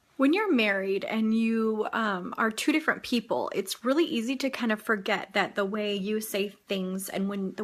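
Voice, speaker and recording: At a moderate pace, a woman talks with an ordinary speaking voice and a medium pitch. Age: 30s. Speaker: vlogger and mother of a large family. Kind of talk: casual chat.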